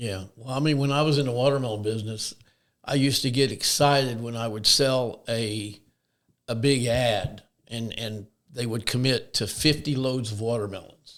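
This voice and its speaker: In a plain, everyday voice of medium pitch, a man talks at a moderate pace with fairly even intonation. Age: 60s. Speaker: shed business owner. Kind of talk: interview.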